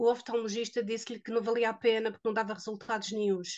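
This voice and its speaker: A woman in a European Portuguese accent, fairly high in pitch, at a fairly quick pace, with monotone, flat intonation. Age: 60s. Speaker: product testimonial giver. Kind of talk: testimony. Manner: halting.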